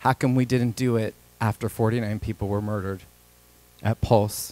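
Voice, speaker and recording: A man's medium-pitched voice with fairly even intonation at a moderate pace, in a very clean, dry, close recording with no echo and a silent background. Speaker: state legislator. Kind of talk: legislative floor questioning. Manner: shaking voice.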